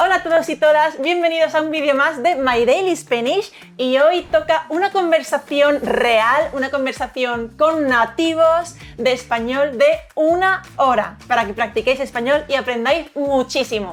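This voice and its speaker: A high-pitched woman talks at a fairly slow pace with ordinary pitch variation. Noticeable background noise runs underneath. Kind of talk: casual conversation.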